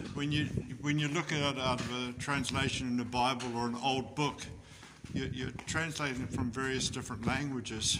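Over noticeable background noise, a man talks at a moderate pace. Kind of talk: casual chat while walking. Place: tunnel cave. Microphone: phone near.

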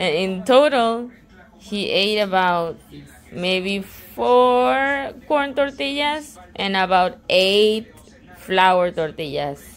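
A woman's voice with very wide pitch swings at a very slow pace. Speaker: vlogger filming family. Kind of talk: casual vlog chat. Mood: amused, laughing. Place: home room. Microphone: phone near.

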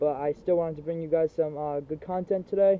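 Light background noise behind a man's fairly quick, monotone, flat delivery, dry with no echo. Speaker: airsoft video creator. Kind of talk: casual vlog chat. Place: garden. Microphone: phone near.

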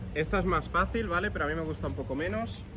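Over light background noise, a man talks at a high pitch. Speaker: fitness coach. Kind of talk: tutorial. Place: street. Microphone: phone near.

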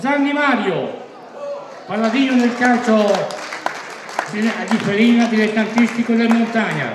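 There is noticeable background noise and audible room echo behind a man's voice. His pitch varies in an ordinary way. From Emilia, Reggio Emilia Apennines. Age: 80s+. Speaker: sports commentator celebrating his birthday. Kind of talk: party speech. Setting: party hall with audience.

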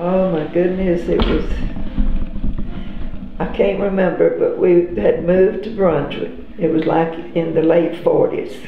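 Long, frequent pauses mark a woman's fairly slow speech in a Southern US accent. Audible room echo and light background noise surround her. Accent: Southern American. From Georgia, USA. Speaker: grandmother interviewee. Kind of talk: interview answer. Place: home room.

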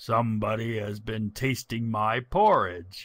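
Growling, a man puts on a character voice at medium pitch and a fairly slow pace. The recording is very clean, with a silent background.

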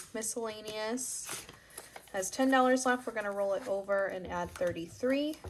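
Noticeable background noise behind fairly slow speech. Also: woman. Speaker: budgeting vlogger. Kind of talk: casual tutorial narration. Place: home room.

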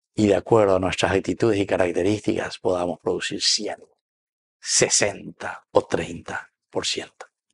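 A man with a low pitch speaks at a moderate pace, with little pitch movement, vocal fry and a slightly husky edge.

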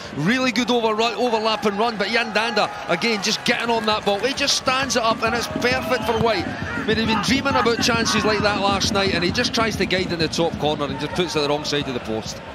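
The speaker uses a raised, projected voice and an animated tone at a fairly quick pace. Pitch variation is ordinary, and there is noticeable background noise. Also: man, high pitch for a man. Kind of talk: football co-commentary, analysing replays. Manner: animated, analytical, fluent with some stumbles and repeated words.

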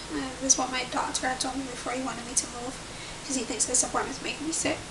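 Noticeable background noise surrounds a woman using a raised, projected voice. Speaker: pregnancy vlogger. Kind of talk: casual vlog chat. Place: home room. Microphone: webcam.

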